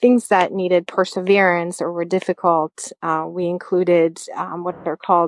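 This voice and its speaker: Recorded dry and close with no echo over a quiet background, a woman with a French accent speaks at a fairly low pitch with fairly even intonation. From France. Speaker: high school math teacher. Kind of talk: interview.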